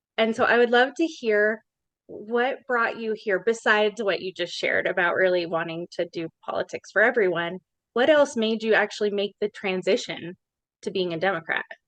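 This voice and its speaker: A woman with an ordinary speaking voice and an American accent, fairly high in pitch with ordinary variation, at a moderate pace, with dry, close sound and no echo. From Colorado, Larimer County. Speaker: podcast host, social worker. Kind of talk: podcast interview.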